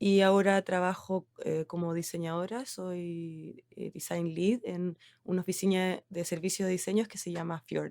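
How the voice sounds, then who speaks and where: A woman talks at a fairly slow pace with hardly any pauses, in a fairly low pitch and a monotone, flat intonation. Her loudness swings widely, and the sound is dry and close with no echo. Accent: Chilean. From Chile. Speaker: designer. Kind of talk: interview. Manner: hesitant, many fillers.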